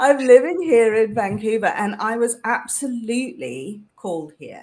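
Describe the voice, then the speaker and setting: The speaker is a woman with a British accent. She talks at a moderate pace. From UK. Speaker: leadership coach. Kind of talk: interview conversation.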